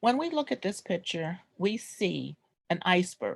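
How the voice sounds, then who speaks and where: Vocal fry runs through a woman's voice, recorded with a dry, close sound and no echo. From New York (Brooklyn). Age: 60s. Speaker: descendant presenting family history. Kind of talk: oral history presentation.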